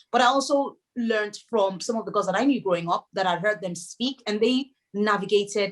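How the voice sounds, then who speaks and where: At a moderate pace, a woman speaks with a Yoruba accent. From Nigeria, Lagos. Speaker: novelist. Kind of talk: interview.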